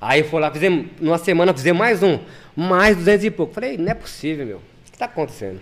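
A man's high-pitched voice at a very fast pace, with lively intonation and big swings in loudness. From São Paulo city, east zone (Vila Formosa). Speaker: retail warehouse manager. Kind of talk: casual chat.

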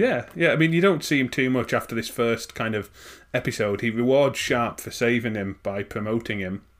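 On a very clean recording with a silent background, a man speaks in a northern English accent at a moderate pace. His pitch is medium, with ordinary pitch variation. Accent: soft northern English. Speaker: podcast host. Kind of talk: casual chat.

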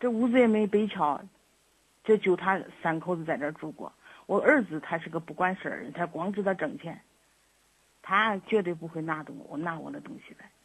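A woman's somewhat breathy, fairly low voice at a moderate pace, with big swings in loudness and long, frequent pauses. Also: lively intonation. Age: old. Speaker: elderly mother calling for advice. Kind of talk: call-in advice conversation. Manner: halting, repetitive.

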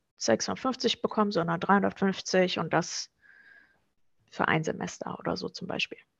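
Over a quiet background, a woman talks at a very slow pace in a dry, close sound with no echo. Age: 30s. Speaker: student finance advisor. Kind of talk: informational interview.

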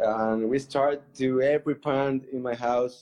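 A man in a Spanish accent with monotone, flat intonation. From Colombia. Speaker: artist. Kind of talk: casual interview. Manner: halting. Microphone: connection dropped.

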